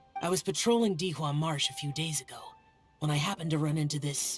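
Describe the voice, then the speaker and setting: A cartoonish character voice at a middle pitch, very fast, with faint music in the background. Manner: terse, reserved.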